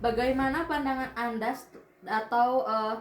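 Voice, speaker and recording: There's audible room echo and noticeable background noise as a woman speaks with ordinary pitch variation. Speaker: university student interviewer. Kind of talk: student interview assignment. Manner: halting.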